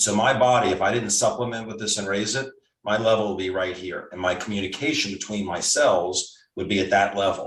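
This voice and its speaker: Speaking at a fairly quick pace, a man uses a fairly low pitch with fairly even intonation. His voice is somewhat breathy. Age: 60s. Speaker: doctor. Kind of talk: casual chat.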